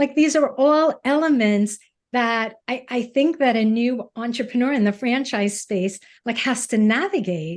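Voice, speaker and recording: A woman with a Brooklyn accent speaks in a high voice with lively intonation at a moderate pace over a quiet background. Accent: New York (Brooklyn). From US Northeast, Brooklyn. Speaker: podcast co-host. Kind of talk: podcast interview.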